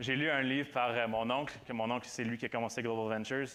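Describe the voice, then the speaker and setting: The man keeps a fairly even intonation at a medium pitch while talking fairly quickly. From Quebec, Granby area. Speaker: student preacher. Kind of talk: sermon. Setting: church with audience. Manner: halting, many repetitions.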